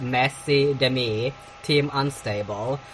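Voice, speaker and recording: There is noticeable background noise behind a woman's speech. Her pitch varies in an ordinary way. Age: young. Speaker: podcast host. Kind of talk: casual solo commentary on celebrity news. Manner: halting, many fillers.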